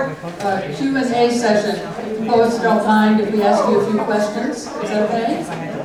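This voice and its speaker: With noticeable background noise behind her, a woman speaks at a fairly slow pace and a fairly high pitch, with ordinary pitch variation and hardly any pauses. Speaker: poetry event host. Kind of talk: event moderation.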